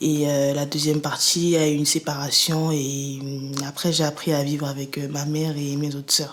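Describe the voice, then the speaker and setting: A woman with a very deep, low voice speaks at a fairly slow pace in a flat monotone, with noticeable noise in the background. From Cameroon (Yaoundé). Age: 20s. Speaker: student giving testimony. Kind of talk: interview testimony. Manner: hesitant, many fillers.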